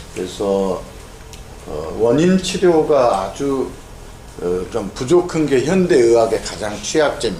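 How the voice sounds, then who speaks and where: Speaking very slowly with long, frequent pauses, a man at medium pitch makes very wide pitch swings, heard with noticeable background noise and audible room echo. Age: 70s. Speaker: neurosurgeon and Korean medicine doctor lecturer. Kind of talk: lecture. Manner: casual, conversational with fillers.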